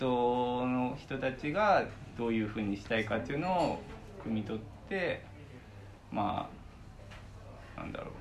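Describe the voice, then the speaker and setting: Long, frequent pauses break up a man's lively intonation. The room echo is audible. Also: medium pitch for a man, moderate pace. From Fukuoka, Iizuka. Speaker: freelance web designer. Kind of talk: casual interview.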